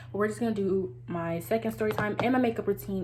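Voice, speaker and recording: With noticeable background noise around her, a woman talks at a fairly quick pace. Her very deep, low voice moves through very wide pitch swings. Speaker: beauty vlogger. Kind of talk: casual story time. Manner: words run together.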